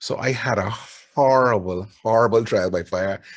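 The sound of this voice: In a Barbadian accent, a man speaks at a fairly low pitch.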